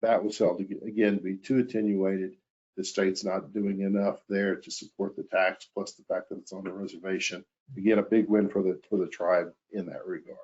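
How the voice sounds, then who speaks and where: Fairly quick, monotone speech from a man with an American accent, fairly low in pitch, with big swings in loudness. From Oklahoma, Tulsa. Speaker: energy lawyer. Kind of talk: webinar presentation. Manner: fast.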